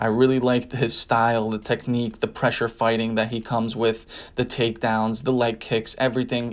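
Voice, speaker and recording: Monotone and flat in intonation, a man speaks in a medium pitch in a very clean recording with a silent background. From New Jersey, US. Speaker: sports betting tipster. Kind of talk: casual sports predictions commentary.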